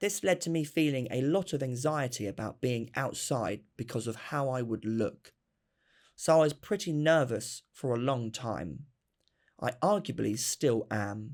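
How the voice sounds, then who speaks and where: On a very clean recording with a silent background, a man has an unremarkable speaking voice. He talks at a fairly slow pace with lively intonation. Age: 20s. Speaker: documentary interviewee. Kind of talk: personal testimony.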